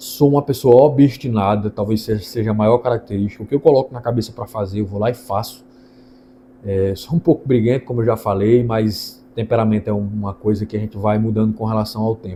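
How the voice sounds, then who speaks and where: Dark and mellow in tone, the voice is somewhat breathy, moves at a fairly quick pace, and keeps fairly even intonation. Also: man, medium pitch for a man. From Brazil, Ceará interior (Northeast). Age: 20s. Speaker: lawyer. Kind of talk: channel introduction monologue.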